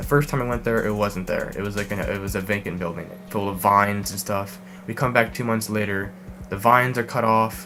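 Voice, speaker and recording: Ordinary pitch variation in a man's fairly low voice. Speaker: urban exploration youtuber. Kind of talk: Q&A vlog. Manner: fast; hesitant, many fillers.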